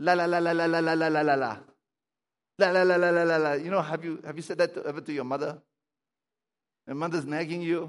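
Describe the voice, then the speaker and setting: A man at a high pitch, talking at a fairly quick pace. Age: 60s. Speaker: pastor. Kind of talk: sermon. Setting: church. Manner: halting.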